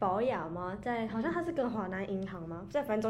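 A woman talks at a very fast pace with lively intonation and a dark, mellow tone, amid audible room echo. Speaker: podcast co-host. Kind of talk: casual chat.

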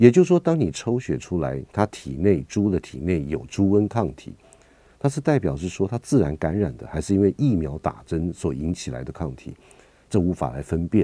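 A man with a very deep, low, dark and mellow voice, vocal fry, very wide pitch swings and a moderate pace. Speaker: veterinarian and radio host. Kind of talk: radio talk show.

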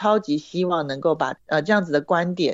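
A woman with an unremarkable speaking voice talks at a fairly quick pace, her fairly low pitch carried by lively intonation. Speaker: career counselor and trainer. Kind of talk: interview. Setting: online remote recording.

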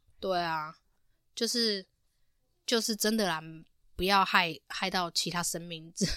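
The recording is very clean with a silent background. A woman of medium pitch speaks at a moderate pace. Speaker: podcast host. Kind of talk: casual chat.

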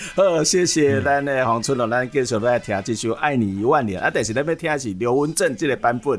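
With hardly any pauses, a man talks at a fairly quick pace and medium pitch, using ordinary pitch variation over noticeable background noise. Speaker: radio and podcast host. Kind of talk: interview in Taiwanese Hokkien.

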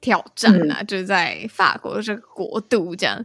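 A woman talks at a moderate pace and a medium pitch, with ordinary pitch variation. It is an ordinary speaking voice. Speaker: podcast host. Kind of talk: interview.

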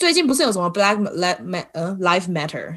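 This voice belongs to a woman. She swings her pitch very widely as she talks. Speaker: podcast host. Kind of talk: casual interview chat. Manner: laughs a lot.

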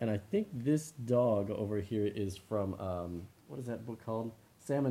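Pitch moves in an ordinary way. The words are read aloud in a natural voice.

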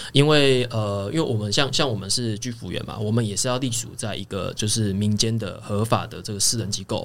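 A man talks with an ordinary speaking voice at a medium pitch and fairly even intonation. He goes at a fairly quick pace with hardly any pauses. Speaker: home care worker. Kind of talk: casual chat.

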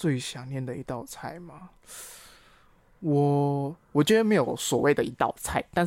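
In a very clean recording with a silent background, a man talks at a fairly high pitch. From Malaysia. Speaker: language teacher. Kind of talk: casual chat.

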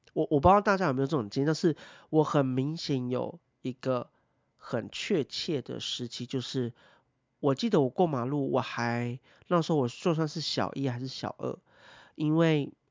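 The speaker goes at a moderate pace in a Taiwanese accent. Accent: Taiwanese Mandarin. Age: 30s. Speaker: podcast host. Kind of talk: casual solo talk.

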